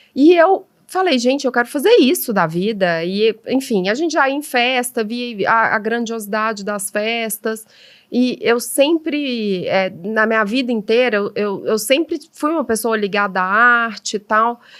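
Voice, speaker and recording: At a fairly slow pace, a woman with a mineiro accent speaks at a fairly high pitch with lively intonation. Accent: mineiro accent, noted as delicious. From Minas Gerais, Brazil (Belo Horizonte). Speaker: event decorator and florist. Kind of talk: podcast interview. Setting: at a table at home.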